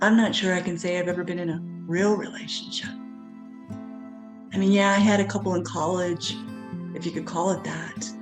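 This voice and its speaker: Over music in the background, a woman talks at a moderate pace with a medium pitch and ordinary pitch variation. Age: 40s. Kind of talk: personal story talk to camera.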